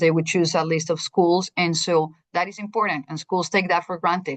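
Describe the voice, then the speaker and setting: Speaking in a Spanish accent at a moderate pace, a woman uses a fairly low pitch and a monotone, flat intonation over a quiet background. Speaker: school district administrator presenting to teachers. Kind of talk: presentation.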